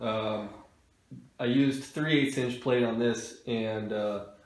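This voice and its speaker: With audible room echo, a man speaks using ordinary pitch variation. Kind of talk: tutorial. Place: workshop.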